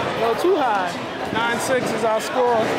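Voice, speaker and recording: Speaking very slowly, a man is heard through loud background noise. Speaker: game commentator. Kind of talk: commentary. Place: street.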